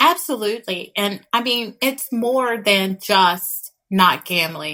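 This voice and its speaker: The voice has a bright, sharp tone and a slight Texas accent. Its intonation is lively while the pace is very slow. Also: woman, medium pitch for a woman. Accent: slight Texas twang. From West Texas. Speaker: licensed clinical therapist, podcast co-host. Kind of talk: podcast conversation.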